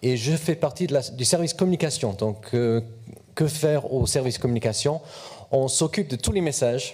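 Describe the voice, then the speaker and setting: A man with a slight English accent speaks at a fairly quick pace. His somewhat breathy voice has a dark, mellow tone and ordinary pitch variation. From England. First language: English (speaking French). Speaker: corporate communications officer. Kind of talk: panel talk at a youth event. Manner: hesitant, repeats words.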